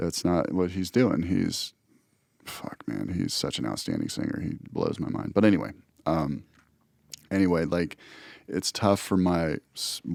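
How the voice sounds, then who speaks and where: Recorded very cleanly against a silent background, a man with a very deep, low pitch and vocal fry speaks at a fairly slow pace, with ordinary pitch variation and long, frequent pauses. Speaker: podcast co-host and musician. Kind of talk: casual chat. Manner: animated.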